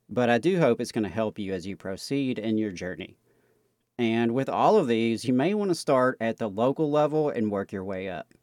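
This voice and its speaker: A man with an ordinary speaking voice talks at a medium pitch and a moderate pace with lively intonation. The sound is dry and close with no echo, on a very clean recording with a silent background. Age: 30s. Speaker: union talk radio host. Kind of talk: educational talk radio. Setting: radio studio.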